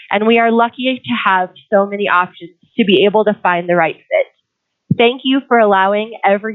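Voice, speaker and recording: Talking at a fairly quick pace, a woman with an American accent has an ordinary speaking voice at medium pitch. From Colorado, US. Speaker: teacher and parent giving public comment. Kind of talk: public comment at school board meeting.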